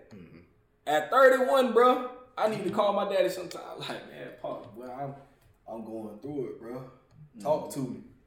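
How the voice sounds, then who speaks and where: This man talks at a moderate pace in a high voice, his pitch swinging very widely and his loudness rising and falling sharply. The room gives off an audible echo. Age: 30s. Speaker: podcast host. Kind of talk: casual chat.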